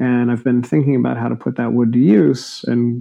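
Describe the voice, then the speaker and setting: A man with a normal speaking voice and medium pitch talks at a moderate pace. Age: 40s. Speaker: builder and designer. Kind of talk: casual interview.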